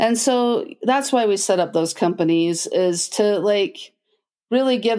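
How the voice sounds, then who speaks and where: In a very clean recording with a silent background, a woman with an American accent speaks at a fairly slow pace. She has a plain, everyday voice, medium pitch and ordinary pitch variation. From Utah, US (Logan). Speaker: special education director. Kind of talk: casual interview.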